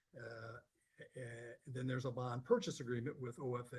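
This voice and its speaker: Somewhat breathy, a man speaks at a medium pitch and a moderate pace. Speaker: city economic development advisor presenting bond documents. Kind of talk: public meeting presentation. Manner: halting, many fillers (uh, um).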